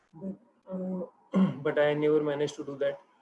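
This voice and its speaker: A man speaks at a fairly high pitch, monotone and flat in intonation. Noticeable background noise sits under his voice. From India, Thane (Maharashtra). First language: Hindi or Marathi. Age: 20s. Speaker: software developer, English learner. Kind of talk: spoken English practice session. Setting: video call. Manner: halting, hesitant.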